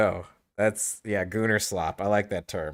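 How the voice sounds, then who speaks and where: On a very clean recording with a silent background, a man with a fairly low pitch speaks fairly slowly with ordinary pitch variation. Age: 40s. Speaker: gaming streamer. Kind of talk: casual chat. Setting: home streaming setup. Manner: loud.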